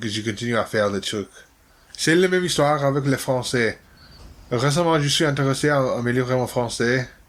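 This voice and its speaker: Using long, frequent pauses, a man speaks at a moderate pace and a medium pitch with ordinary pitch variation. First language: not French (learner) (speaking French). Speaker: language learner vlogger. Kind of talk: casual monologue. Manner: halting.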